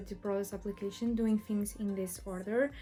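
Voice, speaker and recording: A woman with a fairly high pitch at a moderate pace, music in the background. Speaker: beauty youtuber. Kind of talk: tutorial.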